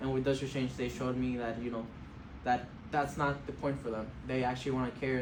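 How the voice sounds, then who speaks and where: A man at a very fast pace, with audible room echo. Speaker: college student and former homeless youth. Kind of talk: interview answers to a board. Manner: halting, many fillers.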